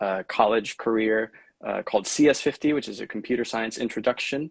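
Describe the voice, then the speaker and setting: With an unremarkable speaking voice, a man talks at moderate speed, his medium pitch carried by fairly even intonation. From Miami, Florida (born in Venezuela). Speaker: 3D artist and technologist. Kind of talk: casual interview chat. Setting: live stream video call.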